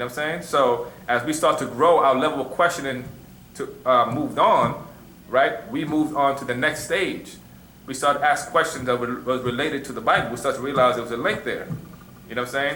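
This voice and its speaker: A man with fairly high pitch talks at a fairly quick pace, with ordinary pitch variation and long, frequent pauses. Audible room echo and noticeable background noise are present. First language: Arabic. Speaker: religious teacher. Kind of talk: question and answer class. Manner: conversational, repeats you know what I'm saying.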